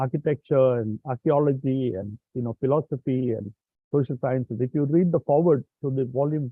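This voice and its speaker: An unremarkable speaking voice from a man, medium in pitch, moderately paced, with ordinary pitch variation. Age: 60s. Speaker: professor, session moderator. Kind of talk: closing remarks at online symposium.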